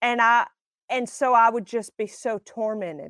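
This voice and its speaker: In a Southern US accent, a woman talks at a fairly high pitch, the sound dry and close with no echo. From Alabama. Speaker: singer and minister. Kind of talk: testimony.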